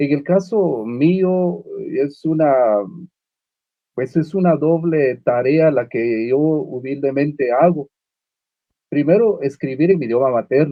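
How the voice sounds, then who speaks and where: Speaking at a very slow pace, a man leaves long, frequent pauses. His pitch is fairly high. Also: ordinary pitch variation. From Guatemala (Uspantán, Quiché). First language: Uspantek (Mayan) (speaking Spanish). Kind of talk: panel discussion. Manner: halting, many fillers and repetitions.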